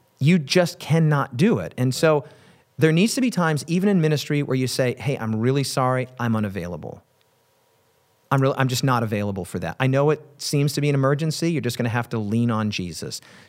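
In a very clean recording with a silent background, a man talks at a fairly quick pace with medium pitch, lively intonation and a plain, everyday voice. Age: 40s. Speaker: pastor. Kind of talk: interview.

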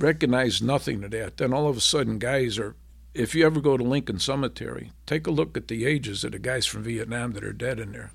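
A man rattles off his words at a very fast pace with vocal fry. His medium pitch shows ordinary variation, and the recording is very clean with a silent background. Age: 70s. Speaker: war veteran. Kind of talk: interview testimony.

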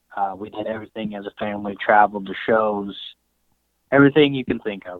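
A man speaks in an ordinary speaking voice with an American accent. His pitch sits in the medium range with ordinary variation, at a moderate pace. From Colorado. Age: 20s. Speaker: cattle rancher. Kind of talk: casual interview.

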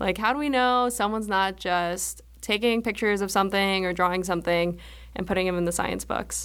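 A woman with an American accent talks at a fairly quick pace and medium pitch, with ordinary pitch variation. She has an ordinary speaking voice. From grew up abroad and across US (military family: Germany, England, Japan). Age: 20s. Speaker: after-school program discipline coordinator. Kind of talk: casual interview.

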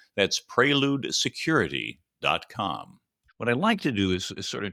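A man speaks at a fairly slow pace. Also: dry, close sound with no echo. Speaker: podcast host. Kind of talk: interview.

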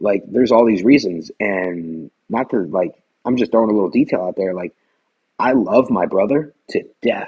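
A man talks in an unremarkable speaking voice at a moderate pace. His pitch is fairly low, with ordinary pitch variation. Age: 30s. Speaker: weight loss guest. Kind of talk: personal testimony in interview.

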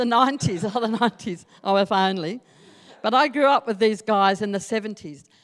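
A woman with an Australian accent speaks in a fairly high voice. Her pace is moderate. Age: 60s. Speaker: Salvation Army officer. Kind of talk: sermon. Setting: church.

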